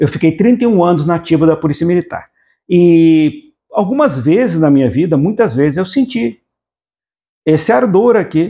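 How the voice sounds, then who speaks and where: With lively intonation and very even loudness, the dark, mellow voice moves at a moderate pace. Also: man, high pitch for a man. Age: 60s. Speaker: literature teacher, retired police officer. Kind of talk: lecture. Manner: halting.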